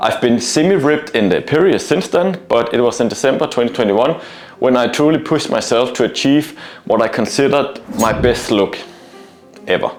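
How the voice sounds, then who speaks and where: With a non-native accent, a man speaks at a fairly high pitch and fairly quick pace, with lively intonation and very even loudness over noticeable background noise. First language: not English. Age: 30s. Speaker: male stripper and fitness vlogger. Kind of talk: vlog monologue. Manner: hesitant with frequent fillers.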